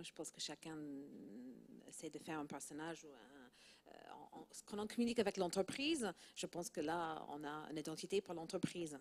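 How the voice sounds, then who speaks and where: With a slight non-native accent, a woman speaks at a moderate pace and fairly low pitch, with ordinary pitch variation and big swings in loudness. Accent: slight foreign accent in French. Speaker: PR and communications director. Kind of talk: panel discussion.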